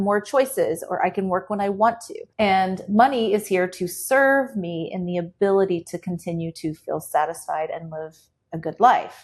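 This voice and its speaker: An unremarkable speaking voice with ordinary pitch variation is heard against a quiet background. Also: woman. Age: 40s. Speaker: economist and educator. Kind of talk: interview conversation.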